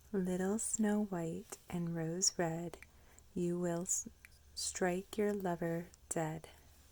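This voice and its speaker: The speaker whispers very slowly, soft-spoken throughout. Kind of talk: casual ASMR introduction to camera. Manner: soft-spoken, whispered.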